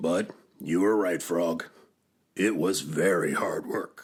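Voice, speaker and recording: The speaker uses a put-on character voice with a raspy edge. The delivery comes at a fairly slow pace. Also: man, very deep, low pitch for a man. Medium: read story. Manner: earnest, fretful.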